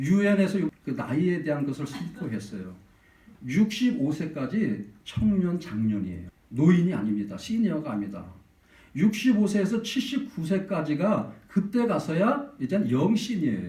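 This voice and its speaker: A man speaks at a fairly slow pace with vocal fry and a dark, mellow tone, his pitch swinging very widely over audible room echo. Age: under 65. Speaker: pastor. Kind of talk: sermon. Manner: animated.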